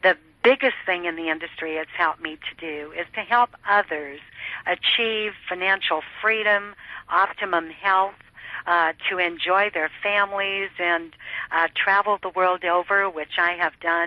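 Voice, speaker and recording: A woman talks at a fairly slow pace with a medium pitch and fairly even intonation. It is a normal speaking voice. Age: 60s. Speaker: network marketer. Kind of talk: interview testimony.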